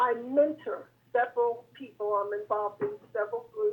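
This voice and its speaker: Her pitch high and swinging very widely, a woman speaks at a moderate pace. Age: 70s. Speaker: caller to talk show. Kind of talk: casual debate on call-in show.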